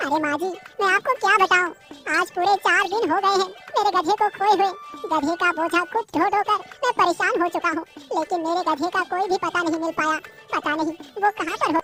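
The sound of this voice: A woman speaks at a fairly quick pace in a cartoonish character voice. Clear music plays in the background.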